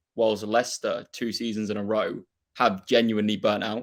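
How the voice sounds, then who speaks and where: A man with a Norfolk accent speaks at a fairly quick pace in a fairly low voice. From England, Norfolk. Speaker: football fan and YouTuber. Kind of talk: casual chat.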